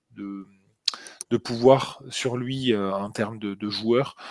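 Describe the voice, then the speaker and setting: A man speaks very slowly at medium pitch. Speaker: NFL podcast co-host. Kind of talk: casual chat. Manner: hesitant, many fillers and repetitions.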